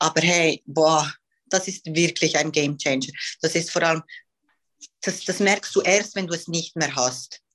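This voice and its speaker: Her pitch fairly low, a woman talks at a fairly slow pace with fairly even intonation and long, frequent pauses. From Switzerland. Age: 20s. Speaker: professional bodybuilding athlete. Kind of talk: casual interview.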